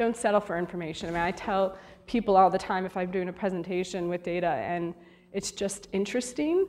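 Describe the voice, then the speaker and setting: Her pitch is medium and varies in an ordinary way. The woman talks at a fairly quick pace. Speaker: media data executive and conference speaker. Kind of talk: conference talk with Q&A. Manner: fast.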